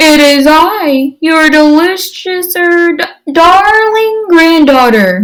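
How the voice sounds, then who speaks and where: Using a put-on character voice, a woman talks at an extremely high pitch and a very slow pace. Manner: sweetly deceitful.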